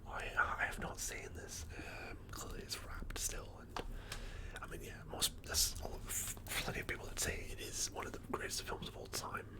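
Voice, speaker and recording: A man whispering in a British accent at a moderate pace, relaxed in tone, over noticeable background noise. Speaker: ASMR / film collection streamer. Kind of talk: ASMR ramble about movie collection, casual talk to camera. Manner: whispered, soft-spoken, relaxed.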